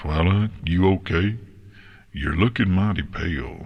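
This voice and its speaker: Against a quiet background, a man does a put-on character voice with a very deep, low pitch and a gentle tone, speaking at a fairly slow pace. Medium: read story. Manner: slow, few words, gentle.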